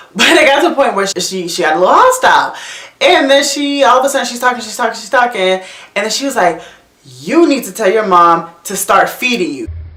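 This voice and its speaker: Over noticeable background noise, a woman talks at a fairly quick pace in a high pitch, with very wide pitch swings and big swings in loudness. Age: young. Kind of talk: casual storytime talk to camera.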